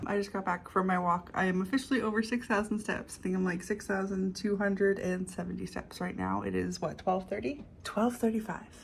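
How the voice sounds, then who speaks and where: The somewhat breathy voice runs at a fairly quick pace with hardly any pauses. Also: woman, medium pitch for a woman. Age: 30s. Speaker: vlogger. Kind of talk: casual vlog monologue. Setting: at home, filming herself. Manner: mumbling, quiet.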